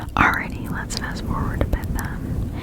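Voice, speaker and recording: A fairly slow whisper is heard. There is noticeable noise in the background. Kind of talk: ASMR story reading. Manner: whispered.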